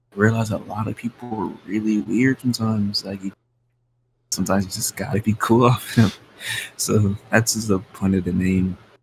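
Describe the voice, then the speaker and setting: Music plays in the background. The speaker talks at a moderate pace with fairly even intonation. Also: man, fairly low pitch for a man. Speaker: rapper. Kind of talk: casual interview. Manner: casual, filler-heavy.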